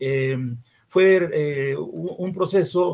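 This man speaks with ordinary pitch variation and a somewhat breathy quality. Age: 70s. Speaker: political party leader. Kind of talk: interview.

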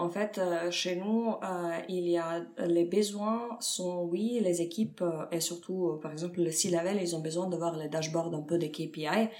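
A woman with a Serbian accent speaks at a very slow pace, her fairly low pitch kept in fairly even intonation. The recording has audible room echo and noticeable background noise. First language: Serbian (speaking French). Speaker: head of data at a fintech. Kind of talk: interview. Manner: halting, many fillers.

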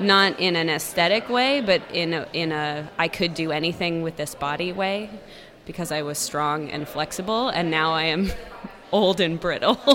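Both noticeable background noise and audible room echo can be heard in this recording. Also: woman, fairly low pitch for a woman, ordinary pitch variation, moderate pace. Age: 30s. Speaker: radio producer. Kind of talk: casual interview. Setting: festival.

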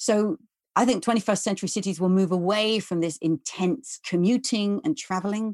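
A woman with a southern English accent speaks at a moderate pace against a quiet background, the sound dry and close with no echo. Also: medium pitch for a woman, ordinary pitch variation. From London, England. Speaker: economist and author. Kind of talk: interview.

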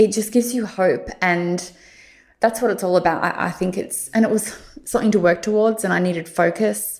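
A woman of medium pitch speaks at a fairly quick pace with fairly even intonation. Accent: Australian. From Australia, Victoria (Warrandyte). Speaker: beauty blogger. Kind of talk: interview testimony.

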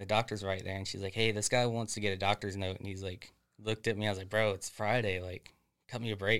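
A man's fairly low voice in a Florida accent, very fast and monotone, flat in intonation, on a very clean recording with a silent background. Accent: US Southern (Florida). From Central Florida, near Leesburg. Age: 20s. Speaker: forklift supervisor. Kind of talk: casual chat.

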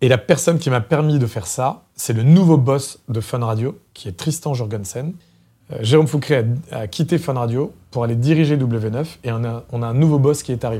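On a very clean recording with a silent background, a man talks at a moderate pace in a somewhat breathy, dark, mellow voice of medium pitch with ordinary pitch variation. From France, Loiret countryside. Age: 40s. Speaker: former radio programme director. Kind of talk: interview. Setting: studio.

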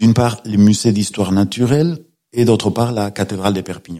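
A man with a Spanish accent speaks at a fairly low pitch in a dark, mellow tone. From Spain. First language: Spanish (speaking French). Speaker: law professor and novelist. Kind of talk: radio interview. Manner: halting, with fillers and repetitions.

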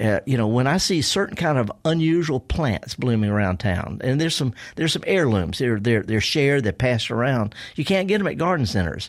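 A man with a Mississippi accent talks at a fairly quick pace and a medium pitch, his pitch swinging very widely while his loudness stays very even. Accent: Mississippi Southern. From US South, Mississippi. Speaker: horticulturist and gardening radio host. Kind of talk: casual interview. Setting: radio studio. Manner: halting, repeating words.

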